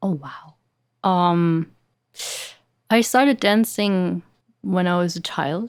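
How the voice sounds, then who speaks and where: A woman's fairly low voice in a German accent, at a very slow pace with long, frequent pauses and big swings in loudness, on a very clean recording with a silent background. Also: ordinary pitch variation. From Germany. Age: 20s. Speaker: dancer and actress. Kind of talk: podcast interview.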